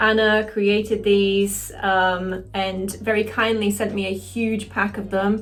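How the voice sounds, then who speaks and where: With audible room echo, a woman of medium pitch talks at a very slow pace in a monotone, flat intonation, barely pausing at all. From northeast England. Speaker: cosplayer and makeup tutorial creator. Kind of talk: makeup tutorial, casual chat to camera. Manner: casual, hesitant with fillers.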